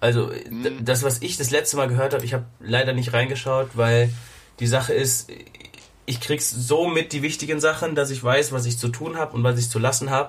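A man talks at a medium pitch. Noticeable background noise runs under him. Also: fairly quick pace. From Germany. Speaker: podcast host. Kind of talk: casual chat. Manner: animated.

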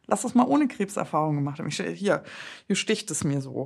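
The voice is somewhat breathy, moving at a fairly quick pace with very wide pitch swings. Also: woman. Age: 30s. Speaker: breast cancer survivor and podcaster. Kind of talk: casual interview chat.

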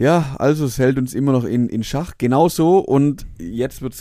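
Over a very clean recording with a silent background, a man with a strong Swabian accent speaks at a medium pitch in a dark, mellow tone, his pitch varying in an ordinary way. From Swabia, Germany. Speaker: podcast co-host. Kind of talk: casual chat.

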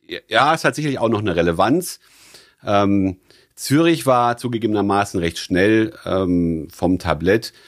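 In a very clean recording against a silent background, a man with a fairly low pitch speaks fairly slowly with lively intonation. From Rhineland, Germany (born in Stuttgart). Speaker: financial entrepreneur. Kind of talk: interview. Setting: jazz club. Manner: hesitant with fillers.

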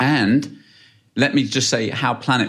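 This man speaks in a British accent with vocal fry. His pitch varies in an ordinary way. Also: very clean recording, silent background. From UK. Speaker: space company founder and CEO. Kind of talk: interview. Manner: halting with many fillers.

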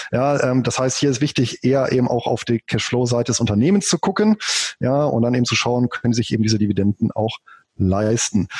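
The speech moves at a fairly quick pace, somewhat breathy and very even in loudness, with ordinary pitch variation and a dry, close sound with no echo. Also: man, medium pitch for a man. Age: 40s. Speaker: finance blogger and author. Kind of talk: interview.

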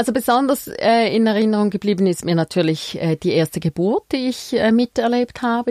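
Dry and close with no echo, a woman's dark, mellow tone comes through at a moderate pace. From Switzerland, Frauenfeld (Thurgau). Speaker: midwife. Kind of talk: interview. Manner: halting, many fillers.

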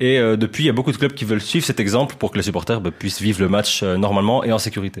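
At a very fast pace, a man speaks in a Belgian accent at medium pitch with ordinary pitch variation. Background noise is noticeable. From Belgium. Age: 20s. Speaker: football journalist. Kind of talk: casual podcast chat.

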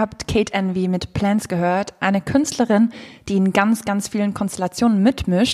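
A woman talks at a moderate pace and medium pitch. Her intonation is fairly even, with noticeable background noise behind her. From Switzerland. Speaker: music podcast co-host. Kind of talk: casual chat. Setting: living room in her flat. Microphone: poor sound, echoey room.

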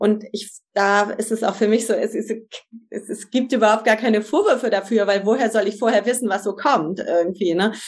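Speaking at a moderate pace, a woman with a fairly high pitch and fairly even intonation has an unremarkable speaking voice. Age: 50s. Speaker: family and couples coach. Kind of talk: interview.

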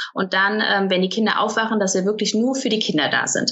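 The speaker has a plain, everyday voice. The pace is fairly quick. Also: woman. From Cologne, Germany. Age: 30s. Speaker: online marketing entrepreneur. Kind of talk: casual interview.

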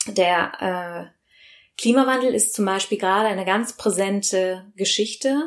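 A plain, everyday voice speaks at a fairly slow pace with ordinary pitch variation and very even loudness, on a very clean recording with a silent background. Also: woman, medium pitch for a woman. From Rhineland, Germany (Bergisch Gladbach near Cologne). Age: 30s. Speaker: sustainability and food consultant, podcast co-host. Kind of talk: interview, telling her own story.

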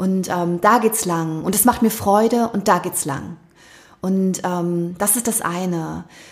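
A woman at medium pitch, with ordinary pitch variation and a very slow pace. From Thuringia, eastern Germany (early childhood). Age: 30s. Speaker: bestselling author and podcaster. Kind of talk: casual interview conversation. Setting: in-person conversation at her place.

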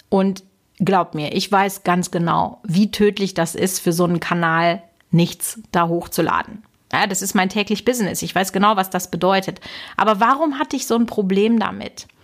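At a moderate pace, a woman with an animated tone speaks at a medium pitch with ordinary pitch variation. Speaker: YouTube business consultant and podcast host. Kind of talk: solo podcast monologue.

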